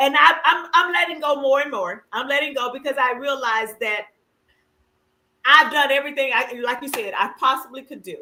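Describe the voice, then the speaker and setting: A woman speaks in a raised, projected voice with a high pitch and a bright, sharp tone. Her pace is moderate, her pitch variation ordinary, and her loudness swings widely. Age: 50s. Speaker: livestream talk show host. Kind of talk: casual chat. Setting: livestream.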